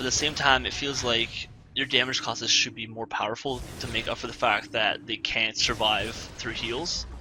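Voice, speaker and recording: Over noticeable background noise, a man at a medium pitch talks at a moderate pace with fairly even intonation. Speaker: gameplay commentator. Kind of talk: live gameplay commentary. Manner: casual, halting.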